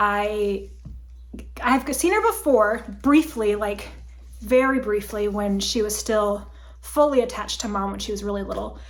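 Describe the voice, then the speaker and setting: A woman speaks at a fairly slow pace with long, frequent pauses. Audible room echo surrounds her voice. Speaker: crafting video host. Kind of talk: casual chat.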